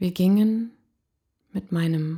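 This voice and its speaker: A woman speaks very slowly in a fairly low, somewhat breathy voice. Her tone is dark and mellow. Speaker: podcast host, motivational coach. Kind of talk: personal storytelling monologue.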